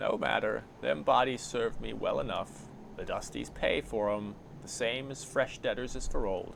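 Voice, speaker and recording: A put-on character voice with hissing goes at a moderate pace over clear background noise. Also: man. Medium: actual play. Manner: sly, hissing, mocking.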